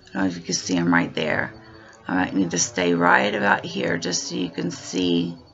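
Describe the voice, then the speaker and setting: A woman's very deep, low voice at a moderate pace with ordinary pitch variation, music in the background. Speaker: product demonstrator. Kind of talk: product demo. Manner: hesitant, with fillers.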